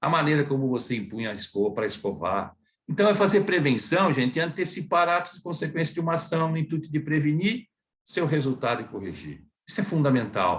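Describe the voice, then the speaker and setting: A fairly high-pitched man with vocal fry speaks at a fairly quick pace, his pitch swinging very widely. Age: 60s. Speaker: dentist. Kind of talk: lecture.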